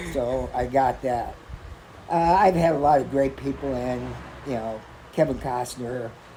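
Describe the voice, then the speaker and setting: Over noticeable background noise, someone with an American accent speaks at a fairly slow pace with long, frequent pauses. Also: man, medium pitch for a man, ordinary pitch variation. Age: 60s. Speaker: sports card shop owner. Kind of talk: interview. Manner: halting.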